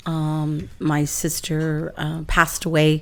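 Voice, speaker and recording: A woman speaks with an American accent. Her pitch is very deep and low. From Southern California (Imperial Valley). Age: 60s. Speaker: local politician. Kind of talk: interview.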